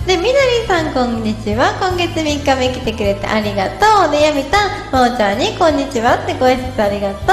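Clear music plays in the background as a woman talks at a fairly quick pace, with audible room echo. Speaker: livestream host. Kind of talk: casual livestream chat reading comments. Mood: cheerful, giggly. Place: home room. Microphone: phone near.

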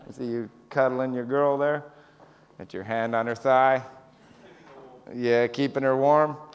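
Fairly slow and monotone, a man talks with flat intonation in a Canadian accent. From Canada. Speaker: stand-up comedian. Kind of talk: stand-up. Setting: stage with audience. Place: stage.

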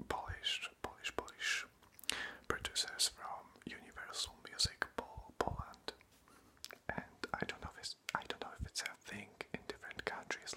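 A man whispers. His pace is fairly slow. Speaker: ASMR creator. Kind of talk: casual talk to camera, update video. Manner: whispered, close-up. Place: home room. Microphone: phone near.

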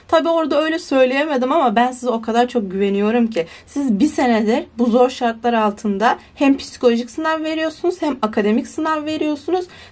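A woman speaks in a high voice with an animated tone. Her intonation is lively. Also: fairly quick pace. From Turkey. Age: young. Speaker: student vlogger. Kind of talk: casual vlog. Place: home room. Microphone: phone near.

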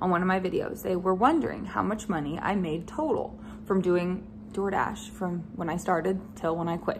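Noticeable background noise sits behind speech at a moderate pace with ordinary pitch variation. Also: woman. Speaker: vlogger. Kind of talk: casual vlog chat. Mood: frank, slightly frustrated. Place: home room. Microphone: phone near.

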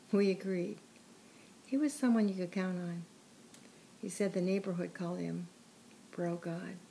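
Somewhat breathy, a woman with a medium pitch speaks at a moderate pace with ordinary pitch variation and long, frequent pauses. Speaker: narrator reading her own written piece. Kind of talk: literary audiobook reading. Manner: earnest and somber, measured narration.

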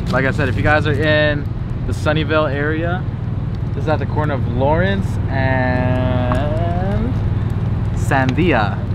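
Music plays in the background of a dry sound with no echo. A man speaks at a fairly slow pace with ordinary pitch variation and long, frequent pauses. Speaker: vlogger. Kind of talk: casual vlog chat. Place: street. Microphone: phone near.

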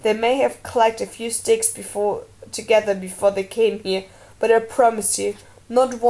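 The clip features an unforced reading voice. Its pitch variation is ordinary.

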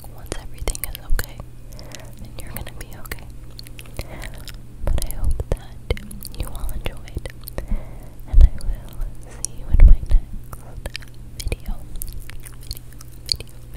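Whispering at a moderate pace, a woman speaks in a gentle tone with long, frequent pauses. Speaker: ASMR creator. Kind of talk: soft-spoken ASMR reassurance. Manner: gentle whispered sign-off. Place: home room. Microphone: studio mic.

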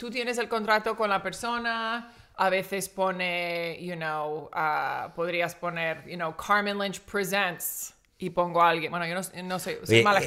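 A woman with an American accent, medium-pitched, bright and sharp in tone, at a fairly slow pace with ordinary pitch variation against a quiet background. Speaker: guest comedian. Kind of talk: interview answer. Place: studio. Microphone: studio mic.

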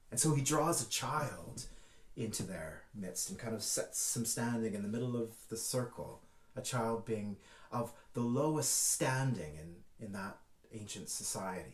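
A somewhat breathy man's voice at a fairly slow pace, with audible room echo. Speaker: church minister. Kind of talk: sermon.

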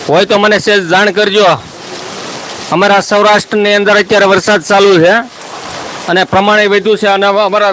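A man with a high pitch talks in a monotone, flat delivery against noticeable background noise. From Saurashtra, Gujarat (Khambha, Amreli district). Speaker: farming YouTuber. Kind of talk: live stream chat with viewers. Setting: outdoors at night during rain, live stream.

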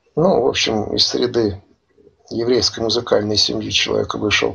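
The background stays quiet. A man's delivery is neither fast nor slow. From Russia. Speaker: commentator; interviewee commentator. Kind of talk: interview. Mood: serious, conspiratorial.

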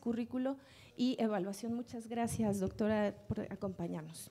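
The speaker is a woman. She keeps to a moderate pace. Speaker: panel moderator. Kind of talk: reading speaker introductions. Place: hall. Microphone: podium.

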